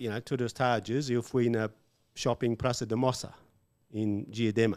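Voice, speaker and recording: Against a quiet background, a man with a strong English accent talks at a fairly slow pace in a monotone, flat delivery. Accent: strong English-speaker accent in Portuguese. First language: English (speaking Portuguese). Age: 50s. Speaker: English teacher; podcast guest, English teacher. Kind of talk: casual chat. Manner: halting, many fillers and English words. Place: studio. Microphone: studio mic.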